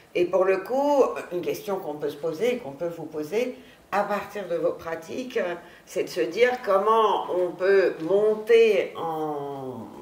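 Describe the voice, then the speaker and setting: A woman's medium-pitched voice with lively intonation and big swings in loudness, very slow, amid audible room echo and noticeable background noise. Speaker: researcher moderating a round table. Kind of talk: panel discussion moderation. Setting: university conference room.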